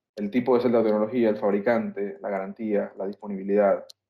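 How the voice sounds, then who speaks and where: Speaking fairly quickly, a man with a fairly low pitch keeps a monotone, flat intonation. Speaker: solar energy instructor. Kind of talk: online lecture. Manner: fast; hesitant fillers.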